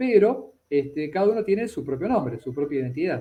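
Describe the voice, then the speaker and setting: A high-pitched man talks at a fairly quick pace with lively intonation. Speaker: psychologist and anthropology student. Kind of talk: conversational interview on a live stream. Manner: hesitant, with many fillers and self-corrections.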